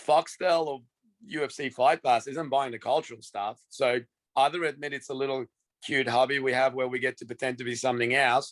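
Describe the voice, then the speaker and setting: The sound is dry and close with no echo as a man at medium pitch talks at a fairly quick pace with fairly even intonation. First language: not English. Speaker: fight promoter. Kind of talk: casual chat.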